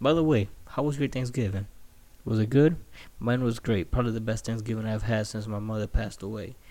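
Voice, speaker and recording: A man talks at a fairly quick pace in a normal speaking voice, medium in pitch with ordinary pitch variation. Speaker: podcast host. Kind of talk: casual solo podcast rant, profane. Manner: casual, profane, rambling.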